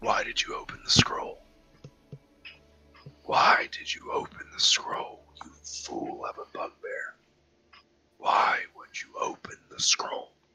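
This man uses a put-on character voice, extremely high in pitch and raspy. He speaks at a fairly slow pace. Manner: accusatory, menacing.

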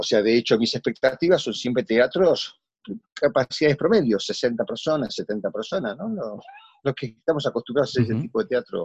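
The voice is somewhat breathy and moves at a fairly quick pace, with a dry, close sound and no echo. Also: man, medium pitch for a man, lively intonation. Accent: Rioplatense. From Argentina. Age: 60s. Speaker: theatre actor. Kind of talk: casual interview.

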